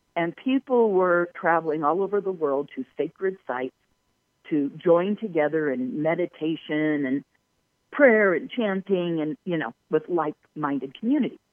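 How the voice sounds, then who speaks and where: With an American accent, a woman talks at a moderate pace in a fairly low pitch, her intonation lively. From Southern California, Palos Verdes. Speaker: UFO researcher and tour guide. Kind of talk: interview. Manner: halting, many fillers.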